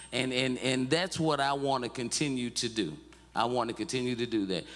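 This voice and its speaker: A moderate pace in a Mississippi accent. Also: man. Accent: US Southern (Mississippi). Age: 60s. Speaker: civil rights activist. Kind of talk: testimony. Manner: halting, repetitive.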